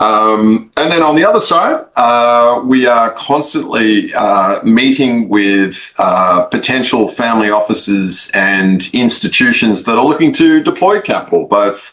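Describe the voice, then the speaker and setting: A man with an Australian accent speaks at a fairly slow pace with hardly any pauses. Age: 50s. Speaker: investment firm founder. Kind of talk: interview. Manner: hesitant, many fillers.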